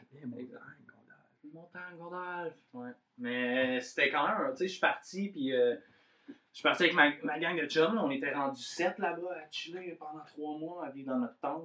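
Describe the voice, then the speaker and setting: A man with an Abitibi accent, fairly high-pitched, with lively intonation and big swings in loudness. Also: moderate pace. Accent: Quebec French, Abitibi. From Abitibi, Quebec. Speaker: podcast host. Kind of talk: casual chat.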